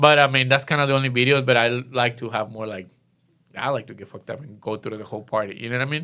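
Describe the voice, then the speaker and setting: A man's bright, sharp voice with a strong non-native accent, at a very fast pace, with fairly even intonation and big swings in loudness, in a very clean recording with a silent background. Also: medium pitch for a man. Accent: thick foreign. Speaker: event promoter. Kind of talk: casual podcast interview. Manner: halting, many fillers.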